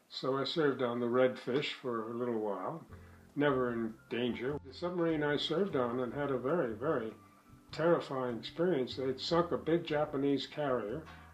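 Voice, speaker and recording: With music in the background, a man talks at a moderate pace and medium pitch, using ordinary pitch variation. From New York City. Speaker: war veteran and oil businessman. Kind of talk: interview testimony. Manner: halting, some repetitions.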